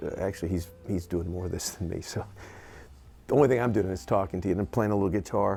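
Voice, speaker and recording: A man's dark, mellow tone. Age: 60s. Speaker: session guitarist and producer. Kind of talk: casual talk to camera. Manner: chatty; halting, many fillers and restarts.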